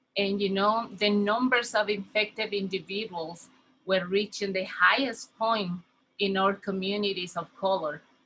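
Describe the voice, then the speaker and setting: With a Spanish accent, a woman speaks at a fairly slow pace and a medium pitch. Her intonation stays fairly even. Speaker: community health worker. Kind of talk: conference welcome speech. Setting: virtual conference.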